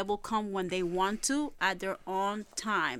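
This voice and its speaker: A woman speaks in a Puerto Rican accent. The recording is very clean, with a silent background. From Puerto Rico and Brooklyn, New York. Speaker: spiritual medium and ghost hunter. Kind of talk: casual chat.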